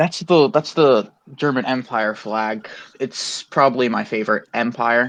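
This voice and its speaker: Speaking at a fairly slow pace, a man with an American accent has an unremarkable speaking voice, medium pitch and ordinary pitch variation. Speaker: interviewer. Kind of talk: casual interview.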